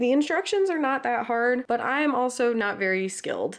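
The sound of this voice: A woman speaks with a nasal sound. Her pitch sits fairly high.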